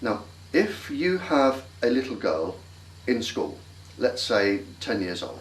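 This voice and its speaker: A man with an English accent speaks at a very slow pace, his medium-pitched voice swinging very widely up and down. Long pauses come often, and the recording has audible room echo and noticeable background noise. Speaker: scientist. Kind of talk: interview.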